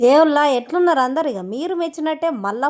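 A woman speaks with lively intonation. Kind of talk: sales pitch.

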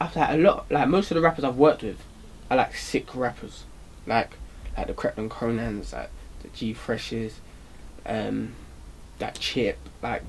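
A man with a South London accent talks at a moderate pace, his loudness swinging widely, with long, frequent pauses over light background noise. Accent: South London, multicultural London English. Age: young. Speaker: rapper; interviewee. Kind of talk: casual interview. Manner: hesitant, many fillers. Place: studio.

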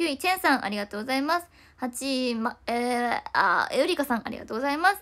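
In a raised, projected voice, a woman talks very fast with a bright, sharp tone, high pitch and lively intonation against a quiet background. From Japan. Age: 20s. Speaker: idol; idol live streamer. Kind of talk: livestream chat. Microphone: phone near.

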